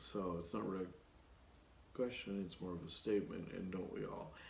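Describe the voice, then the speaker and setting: With audible room echo, a man speaks at a fairly low pitch. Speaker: project management consultant and YouTuber. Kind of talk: solo Q&A video talk. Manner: casual with many fillers.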